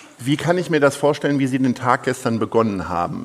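This man has an ordinary speaking voice with ordinary pitch variation. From Lower Saxony, northern Germany. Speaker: event host and interviewer. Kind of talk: onstage interview. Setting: theatre stage with audience.

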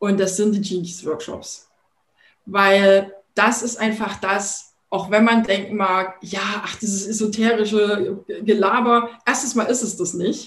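A woman's very slow, somewhat breathy delivery with fairly even intonation. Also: medium pitch for a woman. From Thuringia, eastern Germany. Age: 40s. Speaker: entrepreneur and branding coach. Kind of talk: podcast interview.

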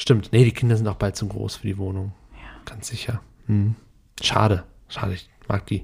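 This man talks at a moderate pace with a fairly low pitch and a somewhat breathy sound. His intonation is monotone and flat, yet his loudness swings widely. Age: 30s. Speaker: podcast host. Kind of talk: casual chat.

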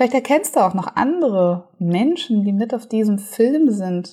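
Somewhat breathy and fairly slow, a woman speaks in a dark, mellow, soothing and calm tone. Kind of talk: guided meditation. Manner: soothing, slow, calm, gentle pacing with pauses; warm, hypnotic, dreamy.

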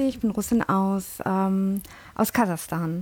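Talking at a very slow pace, a woman uses a medium pitch with ordinary variation. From born in London, Indian family. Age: 30s. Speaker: language teacher. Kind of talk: casual chat.

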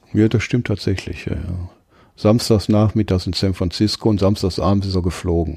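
A man's fairly low, somewhat breathy voice, dark and mellow in tone, with fairly even intonation at a moderate pace. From Ruhr area, Duisburg. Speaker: tattoo artist. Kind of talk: casual interview.

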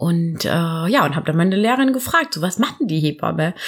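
Very wide pitch swings from a woman speaking at a moderate rate. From southern Germany, near Karlsruhe. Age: 30s. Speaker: midwife. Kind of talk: casual interview chat. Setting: at the guest's home.

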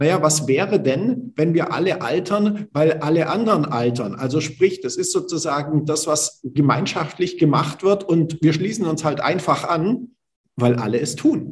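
A man's unremarkable speaking voice, fairly high in pitch, with ordinary pitch variation and a moderate pace. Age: 40s. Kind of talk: casual chat.

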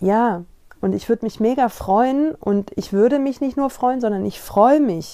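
A woman's dark, mellow tone comes with ordinary pitch variation. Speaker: podcast host and coach. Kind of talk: casual monologue. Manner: halting, searching for words.

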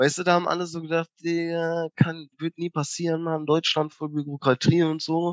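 A man speaks at a moderate pace in a high voice, with flat, monotone intonation and hardly any pauses. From northern Germany, Bersenbrück area. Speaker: podcast co-host. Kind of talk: casual chat. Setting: remote call from parents' house.

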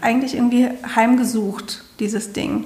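There is noticeable background noise as a woman speaks at a moderate pace in a high voice. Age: 50s. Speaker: podcast host and coach. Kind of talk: casual chat. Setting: studio.

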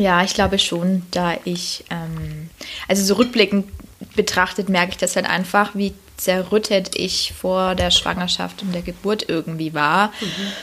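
A woman speaks at a fairly slow pace with a medium pitch and monotone, flat intonation, over noticeable background noise. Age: 20s. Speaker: nurse on parental leave, social media creator. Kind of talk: casual chat. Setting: at host's home.

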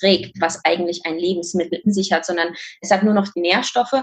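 Somewhat breathy female voice with fairly even intonation. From Kazakhstan. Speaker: fitness and nutrition coach. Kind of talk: interview.

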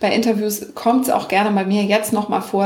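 The voice is monotone with flat intonation, heard with noticeable background noise and audible room echo. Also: woman. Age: 40s. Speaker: online business coach and podcaster. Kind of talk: interview.

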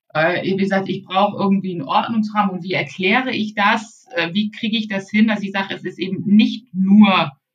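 Her voice is somewhat breathy and sits at a medium pitch. This woman speaks at a fairly quick pace. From northern Germany, Baltic coast. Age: 40s. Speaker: e-commerce consultant. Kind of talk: interview.

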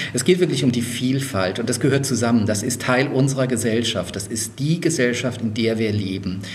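A man speaks at a moderate pace with hardly any pauses, using medium pitch and ordinary pitch variation. The recording has noticeable background noise and audible room echo. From Lower Franconia, Germany. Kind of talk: interview.

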